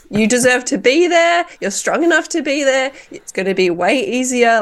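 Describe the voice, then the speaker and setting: This woman has an Australian accent. She talks at a moderate pace. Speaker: cycling commentator. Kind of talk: casual chat.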